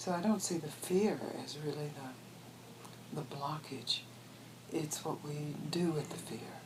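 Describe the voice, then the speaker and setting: The speaker talks at a fairly slow pace in an American accent, with long, frequent pauses. Audible room echo and noticeable background noise fill the recording. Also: woman, very deep, low pitch for a woman, ordinary pitch variation. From US Deep South, Mississippi. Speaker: spiritual teacher. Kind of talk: interview. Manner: halting, with restarts.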